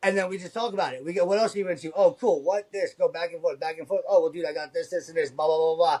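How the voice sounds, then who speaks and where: Loud and animated, a man talks at a high pitch and a very fast pace with ordinary pitch variation and hardly any pauses. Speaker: convention art vendor, former retail salesman. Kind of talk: casual chat. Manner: fast, animated.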